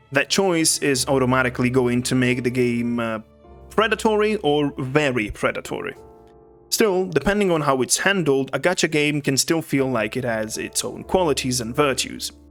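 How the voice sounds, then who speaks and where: Music can be heard in the background. The speaker has a non-native accent and lively intonation. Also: man, fairly high pitch for a man, moderate pace. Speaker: video game commentator. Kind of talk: video essay narration.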